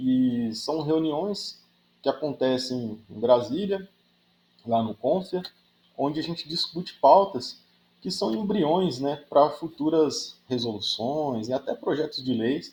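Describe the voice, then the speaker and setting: Intonation here rises and falls in a lively way. The delivery is very slow. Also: man, fairly high pitch for a man. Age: 30s. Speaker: engineering professor. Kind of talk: podcast interview. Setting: remote recording from university office. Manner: frequent hesitations.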